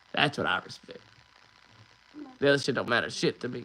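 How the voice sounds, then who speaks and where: This man's fairly high voice races along at a very fast pace. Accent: American. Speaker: livestreamer. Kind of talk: casual chat. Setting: livestream. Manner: animated.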